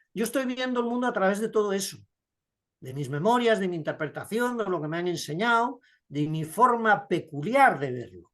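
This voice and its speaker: A man with a high-pitched voice against a quiet background. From Spain. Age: 70s. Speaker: writer. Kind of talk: interview. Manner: reflective, measured.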